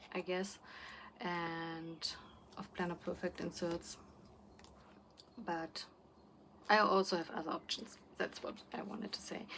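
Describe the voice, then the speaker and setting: A woman with a non-native accent speaks at a fairly slow pace and a fairly low pitch. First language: not English. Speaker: planner YouTuber. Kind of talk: casual vlog chat. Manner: halting, many fillers and restarts.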